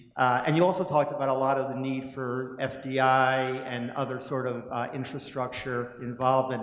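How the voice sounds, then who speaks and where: Over audible room echo, a man with an American accent talks at a moderate pace in a medium-pitched voice. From United States. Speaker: conference attendee asking a question. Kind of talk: audience question. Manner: halting, with fillers.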